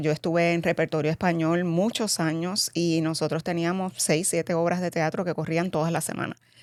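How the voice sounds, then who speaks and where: On a very clean recording with a silent background, a woman speaks at fairly low pitch in a monotone, flat delivery with hardly any pauses. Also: dry, close sound with no echo. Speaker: cosmetics company president, former actress. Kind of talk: interview.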